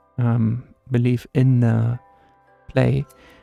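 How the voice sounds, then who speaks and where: Soft-spoken and relaxed in tone, a man talks at a medium pitch. Music plays in the background, and the sound is dry and close with no echo. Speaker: gaming content creator. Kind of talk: casual talk to camera, gaming commentary. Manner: soft-spoken, relaxed.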